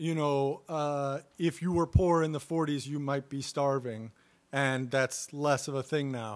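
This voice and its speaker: This is a plain, everyday voice with ordinary pitch variation. It moves at a fairly slow pace against a quiet background. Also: man. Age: 30s. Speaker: podcast co-host. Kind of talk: casual chat.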